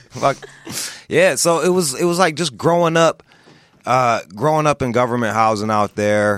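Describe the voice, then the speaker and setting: Using an ordinary speaking voice, a man with an American accent talks at a medium pitch and a moderate pace, his intonation lively. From US Midwest, Pontiac, Michigan. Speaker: author. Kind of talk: casual chat.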